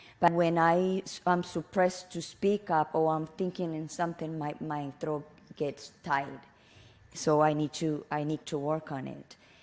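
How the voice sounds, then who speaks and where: Her pitch very deep and low, a woman speaks at a fairly slow pace with monotone, flat intonation. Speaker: podcast co-host. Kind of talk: casual chat. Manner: halting; blunt, raw delivery.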